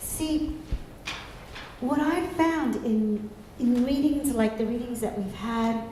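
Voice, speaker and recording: A soft-spoken woman with a high voice talks at a very slow pace, with long, frequent pauses and ordinary pitch variation. Room echo is audible, and there is noticeable background noise. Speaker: minister. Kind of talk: sermon.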